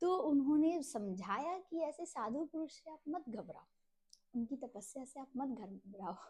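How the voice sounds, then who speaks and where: A woman speaks in a high pitch with very wide pitch swings. Her tone is dark and mellow, and her loudness swings widely. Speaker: religious text reader, channel host. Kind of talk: scripture reading and explanation. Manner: slow.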